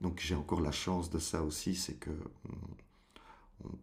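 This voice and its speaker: In a very deep, low voice, a man speaks somewhat breathily with monotone, flat intonation. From Brussels, Belgium. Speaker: stage actor. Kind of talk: interview answer.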